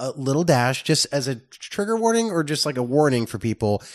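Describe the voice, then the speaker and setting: Over a quiet background, a fairly high-pitched man speaks at a moderate pace with very wide pitch swings. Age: 30s. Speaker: film reviewer podcast co-host. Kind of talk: casual chat.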